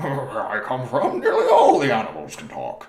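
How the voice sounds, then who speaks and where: A man talks at a moderate pace in a put-on character voice. There is slight echo on the recording. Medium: read story. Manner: low-voiced, wistful.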